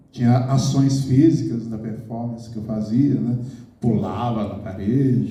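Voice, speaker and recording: A man's voice shows big swings in loudness, with audible room echo around it. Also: medium pitch for a man, ordinary pitch variation, fairly slow pace. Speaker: poet. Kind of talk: talk to an audience.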